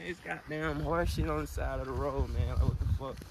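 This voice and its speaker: A man with an American accent is heard in a dry sound with no echo against noticeable background noise. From Alabama, US South (Mobile area); Alabama. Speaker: vlogger. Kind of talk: casual vlog chat. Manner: animated. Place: open country. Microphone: phone near.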